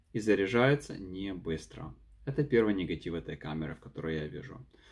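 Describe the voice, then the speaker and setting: A man with a non-native accent speaks against a quiet background. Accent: noticeable foreign accent in Russian. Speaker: YouTuber, product reviewer; vlogger reviewing a camera. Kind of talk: unedited vlog review. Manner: halting, many fillers and repeats. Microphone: phone near.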